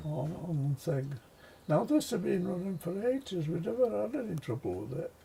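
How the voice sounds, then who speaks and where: The man's pitch is high, with very wide swings. He keeps a moderate pace. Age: 80s+. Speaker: retired railway commissioning engineer. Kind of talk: interview answer.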